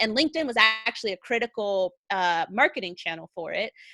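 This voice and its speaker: The speaker moves at a fairly quick pace with an energetic tone and lively intonation. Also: woman. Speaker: content marketer, army veteran. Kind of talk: interview on livestream show. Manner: loud.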